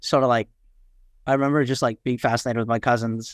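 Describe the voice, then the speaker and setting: In a New York accent, the voice holds a monotone, flat intonation, its sound dry and close with no echo on a very clean recording with a silent background. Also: man. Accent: New York American. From New York City (Queens), moved from Nepal at seven. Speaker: startup founder. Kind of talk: podcast interview. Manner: many fillers and repetitions.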